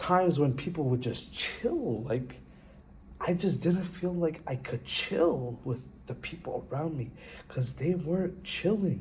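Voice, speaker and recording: Against audible room echo, a man talks at a fairly slow pace with lively intonation. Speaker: vlogger. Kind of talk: casual vlog monologue. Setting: empty classroom. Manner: casual, halting with restarts.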